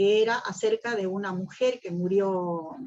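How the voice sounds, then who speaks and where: The pitch varies in an ordinary way in an ordinary speaking voice. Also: woman. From Argentina. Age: 60s. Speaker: poet and singer. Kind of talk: interview.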